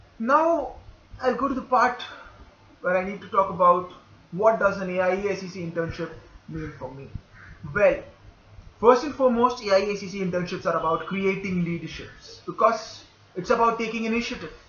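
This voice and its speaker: A man with a high voice speaks at a fairly quick pace, leaving long, frequent pauses. The room echo is audible. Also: ordinary pitch variation, big swings in loudness. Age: 20s. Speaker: internship applicant. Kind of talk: application video monologue.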